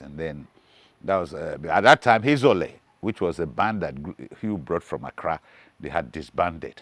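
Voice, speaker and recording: A man speaks with vocal fry. His pace is moderate. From Nigeria, Lagos. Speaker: musician. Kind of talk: interview storytelling. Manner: halting.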